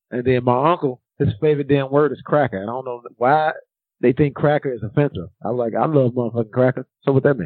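Speaking at a very fast pace, a man with a medium pitch uses ordinary pitch variation. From Chicago. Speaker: podcast co-host. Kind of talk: casual chat. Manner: blunt, profane.

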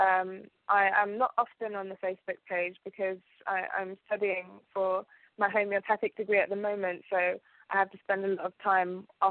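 A woman of medium pitch with a British accent and monotone, flat intonation. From UK, Ugandan family. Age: 20s. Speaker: alchemist and TV presenter. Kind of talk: interview.

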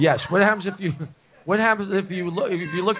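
A high-pitched male voice carries an animated tone over noticeable background noise. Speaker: live show host. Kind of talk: live comedy talk show banter. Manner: joking, rambling, animated.

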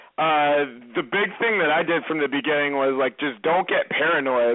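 With noticeable background noise, a man with an American accent talks at a moderate pace and a fairly high pitch. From Massachusetts. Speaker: reality TV contestant. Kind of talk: casual interview.

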